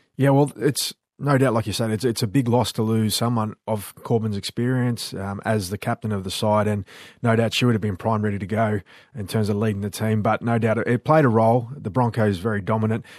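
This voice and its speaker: Against a quiet background, a man speaks at a fairly quick pace. His is an unremarkable speaking voice, medium in pitch, with fairly even intonation. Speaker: co-host and rugby league presenter. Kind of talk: casual chat. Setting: studio.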